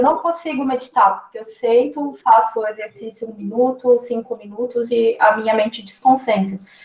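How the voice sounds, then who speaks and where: A woman's high-pitched voice with big swings in loudness and hardly any pauses. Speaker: nutritionist. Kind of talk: lecture.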